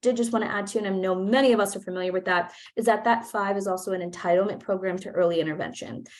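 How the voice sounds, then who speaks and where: Speaking at a very fast pace, a woman uses a medium pitch. Her pitch varies in an ordinary way. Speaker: nonprofit program manager. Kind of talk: presentation.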